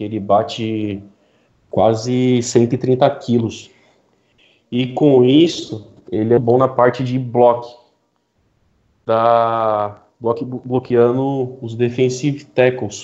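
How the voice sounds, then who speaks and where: Very slow and broken by long, frequent pauses, a man's dark, mellow voice stays monotone and flat. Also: medium pitch for a man. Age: 30s. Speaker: NFL podcast panelist. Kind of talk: casual chat.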